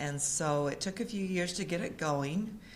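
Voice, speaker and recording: A woman speaks with ordinary pitch variation through audible room echo. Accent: American. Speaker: community volunteer presenter. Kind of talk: informal presentation to audience.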